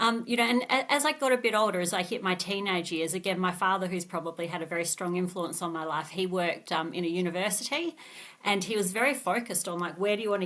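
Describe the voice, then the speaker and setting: Speaking very fast, a woman with an Australian accent uses a medium pitch. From Australia, Adelaide. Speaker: tech company CEO. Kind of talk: podcast interview.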